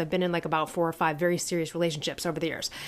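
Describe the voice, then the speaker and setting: In a very clean recording with a silent background, a woman with an American accent speaks in an animated tone. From US Midwest. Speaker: podcast co-host, empowerment coach and author. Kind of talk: casual chat.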